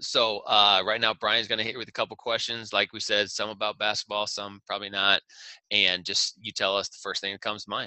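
A man talks at a fairly quick pace and fairly low pitch, with big swings in loudness. His intonation is monotone and flat. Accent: American. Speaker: podcast host. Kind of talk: casual interview.

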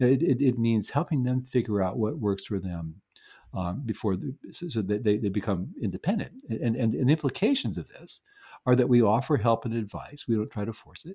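In a quiet background, a man with a dark, mellow, somewhat breathy tone speaks at a medium pitch and a fairly quick pace with lively intonation. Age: 70s. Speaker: neuropsychologist and parenting author. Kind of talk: interview conversation. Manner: halting, many repeated words.

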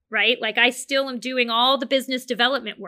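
A woman speaks at a fairly quick pace in a bright, sharp tone. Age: 40s. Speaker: marketing agency CEO. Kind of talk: casual interview.

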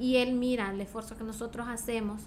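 Her voice fairly high in pitch, a woman speaks at a moderate pace with fairly even intonation, and the room echo is audible. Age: 30s. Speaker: beauty pageant contestant and journalist. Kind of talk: interview.

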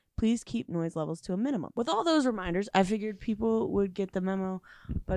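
In a natural reading voice, the pitch varies in an ordinary way.

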